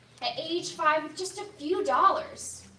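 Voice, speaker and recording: A raised, projected voice with very wide pitch swings rings out against audible room echo. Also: woman. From immigrant raised in Delaware County, Pennsylvania. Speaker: congressional candidate. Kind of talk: campaign debate opening statement.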